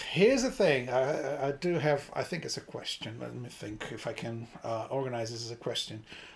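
In a Portuguese accent, a somewhat breathy man speaks at medium pitch and a moderate pace, using ordinary pitch variation and hardly any pauses. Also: big swings in loudness. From Brazil. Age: 20s. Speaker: podcast co-host. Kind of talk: casual chat. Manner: hesitant, halting.

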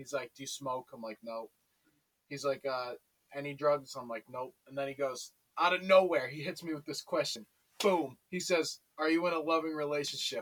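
This man has a normal speaking voice with ordinary pitch variation and big swings in loudness, recorded with a dry, close sound with no echo. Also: fairly high pitch for a man, moderate pace. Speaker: friend of the hosts. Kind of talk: casual chat.

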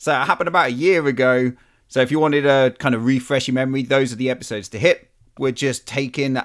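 A man speaks in an upbeat, enthusiastic tone at a fairly high pitch. He keeps a fairly quick pace on a very clean recording with a silent background. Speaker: podcast host. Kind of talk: casual intro.

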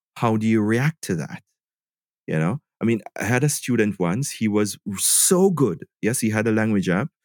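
Recorded very cleanly against a silent background, with a dry, close sound and no echo, a man with a normal speaking voice talks at medium pitch and moderate pace with lively intonation. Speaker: English teacher and online trainer. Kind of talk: casual interview.

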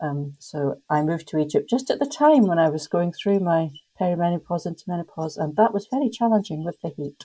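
A woman with a Scottish accent, fairly low pitch, dark, mellow tone, somewhat breathy delivery, lively intonation and fairly quick pace. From Scotland. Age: 50s. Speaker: tour company owner. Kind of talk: casual chat.

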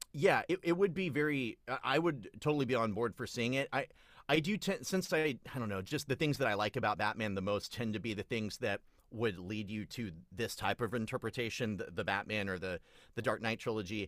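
A man's medium-pitched, normal speaking voice at a fairly quick pace with lively intonation on a very clean recording with a silent background. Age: 30s. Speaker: podcast guest, film fan. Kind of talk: casual chat.

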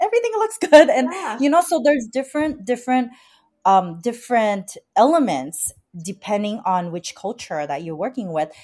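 A high-pitched woman at a moderate pace, with very wide pitch swings and big swings in loudness. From Vietnam, Chinese-Vietnamese family. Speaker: wedding planner. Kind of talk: casual interview chat. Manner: hesitant, many fillers.

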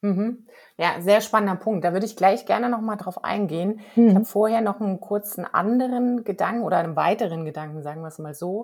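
This woman has a normal speaking voice at a medium pitch, talking at a fairly quick pace with ordinary pitch variation and big swings in loudness. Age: middle-aged. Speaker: podcast host. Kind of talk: casual chat.

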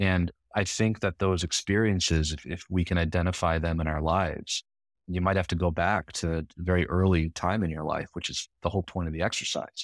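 The voice has an American accent, heard in a very clean recording with a silent background and a dry, close sound with no echo. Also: man, very deep, low pitch for a man. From Michigan, US. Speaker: philosopher and writer. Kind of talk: interview.

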